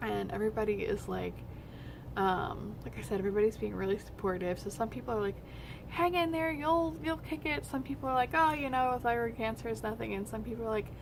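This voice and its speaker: A woman talks at a fairly quick pace. She is soft-spoken. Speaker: vlogger, medical office receptionist. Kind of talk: personal vlog update. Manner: hesitant, many fillers.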